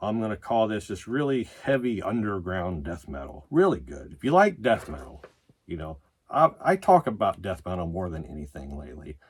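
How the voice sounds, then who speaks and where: A man speaks in a very deep, low voice with vocal fry at a moderate pace. His pitch swings very widely and his loudness varies greatly, on a very clean recording with a silent background. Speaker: metal music video reviewer. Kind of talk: casual vlog commentary. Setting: home, sitting by records on a futon. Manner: frequent filler words, says you know and uh a lot.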